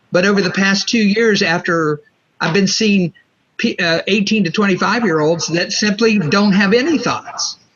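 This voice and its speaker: The voice shows ordinary pitch variation and holds a very even loudness. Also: man, high pitch for a man, moderate pace. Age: 60s. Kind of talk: interview. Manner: halting.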